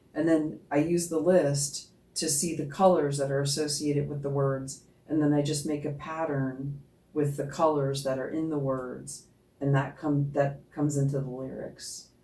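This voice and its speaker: In a dark, mellow tone, the voice moves at a moderate pace with flat, monotone intonation and audible room echo. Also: woman, very deep, low pitch for a woman. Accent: American. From New Jersey. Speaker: singer in a goth band. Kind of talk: casual interview chat.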